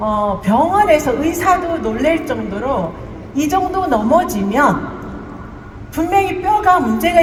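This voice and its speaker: Against noticeable background noise and audible room echo, the speaker talks at a very slow pace with very wide pitch swings. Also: woman. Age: 60s. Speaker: network marketing business leader. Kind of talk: testimony.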